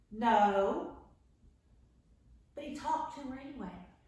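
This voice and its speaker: A very slow pace, with audible room echo. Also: woman. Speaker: children's Bible class teacher. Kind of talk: children's Bible lesson. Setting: home, camera across the room. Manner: loud. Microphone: camera far across the room.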